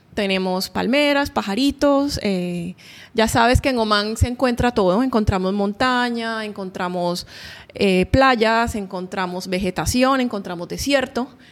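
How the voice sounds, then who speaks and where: This is an ordinary speaking voice with ordinary pitch variation. The pace is fairly slow. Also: woman, fairly high pitch for a woman. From Colombia, Barranquilla (Caribbean coast). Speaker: painter. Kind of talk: interview. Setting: artist's studio.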